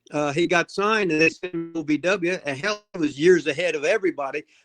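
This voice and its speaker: With music in the background, a voice in an American accent shows lively intonation in a dry, close sound with no echo. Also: man. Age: 70s. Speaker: retired pro wrestler and wrestling trainer. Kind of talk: casual interview chat. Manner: halting, many restarts; animated, profane.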